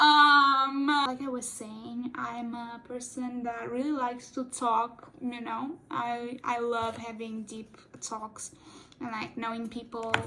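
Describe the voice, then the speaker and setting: In a Portuguese accent, a woman with a high pitch speaks very slowly in a monotone, flat intonation. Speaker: cosplay YouTuber. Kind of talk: casual chat while doing makeup tutorial. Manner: halting, self-correcting; talkative.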